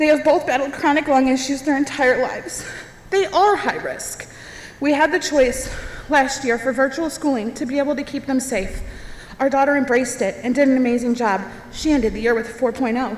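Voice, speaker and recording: Her pitch is high, with ordinary pitch variation. Noticeable background noise sits behind this woman's voice. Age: 30s. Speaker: parent speaking at public comment. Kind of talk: public comment speech.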